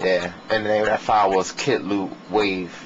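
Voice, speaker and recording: Against noticeable background noise, a man speaks at a fairly slow pace in a fairly low voice with ordinary pitch variation. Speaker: music producer giving a beat-making tutorial. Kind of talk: tutorial. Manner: casual, filler-heavy.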